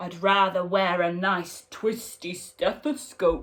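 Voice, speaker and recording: A put-on character voice at a middle pitch, fairly slow in pace. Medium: read story.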